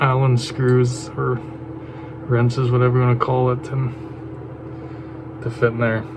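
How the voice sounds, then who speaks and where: Over noticeable background noise, a man speaks at a moderate pace and medium pitch in a monotone, flat intonation, with long, frequent pauses. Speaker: firearms hobbyist. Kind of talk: casual talk to camera. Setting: outdoors.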